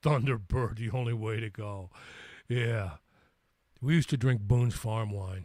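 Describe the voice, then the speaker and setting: An American-accented man at a medium pitch, somewhat breathy, with ordinary pitch variation, a moderate pace and long, frequent pauses, in a very clean recording with a silent background. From US Midwest, St. Louis. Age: 60s. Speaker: livestream host and musician. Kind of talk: casual live chat. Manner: halting, repeats words.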